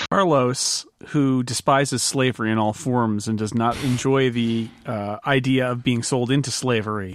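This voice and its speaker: A man talks at a moderate pace with hardly any pauses in an ordinary speaking voice. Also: medium pitch for a man. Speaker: podcast host and player. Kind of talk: casual game chat plus scripted ad read.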